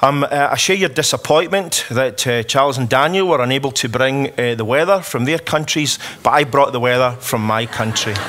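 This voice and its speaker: Talking at a fairly quick pace with hardly any pauses, a man with a Scottish accent uses a medium pitch and ordinary pitch variation over noticeable background noise. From Scotland. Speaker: politician. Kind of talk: conference speech. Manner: hesitant fillers.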